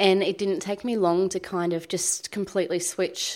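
Heard in a very clean recording with a silent background, a woman with an Australian accent speaks at a moderate pace and medium pitch. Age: 20s. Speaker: blogger and mother. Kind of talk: casual chat. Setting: home kitchen.

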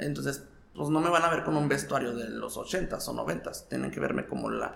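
Through audible room echo and noticeable background noise, a man speaks at a very fast pace. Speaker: drag performer / impersonator. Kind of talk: casual interview. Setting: recorded indoors, unusual location.

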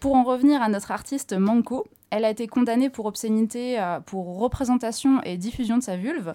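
In a very clean recording with a silent background, a woman with a fairly high pitch and a dark, mellow tone talks at a fairly quick pace with ordinary pitch variation. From northern France or Belgium. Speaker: comics columnist, bookseller. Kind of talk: scripted review reading.

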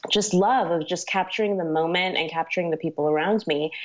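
With an American accent, a woman has a plain, everyday voice, a medium pitch, and ordinary pitch variation. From Miami, Florida. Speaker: wedding photographer. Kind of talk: interview.

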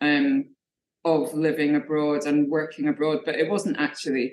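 A woman with a Scottish accent and a very deep, low pitch. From Scotland. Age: 40s. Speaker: artist. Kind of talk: interview.

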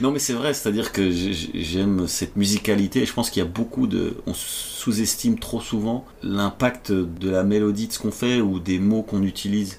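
At a moderate pace, this is a normal speaking voice with ordinary pitch variation. There are hardly any pauses. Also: man, fairly low pitch for a man. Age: 40s. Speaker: comedian. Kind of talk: casual chat. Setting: at home.

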